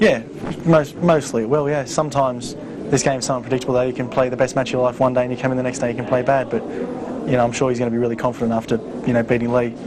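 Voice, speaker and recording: A man at a very fast pace, medium in pitch, fairly even in intonation, with audible room echo and noticeable background noise. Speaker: pool player. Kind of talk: casual studio analysis.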